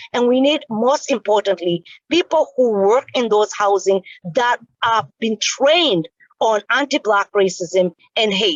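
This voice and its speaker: A woman speaks at a fairly high pitch in a passionate, animated tone. Her intonation is lively and her pace fairly slow. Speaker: community advocate. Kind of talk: town hall question.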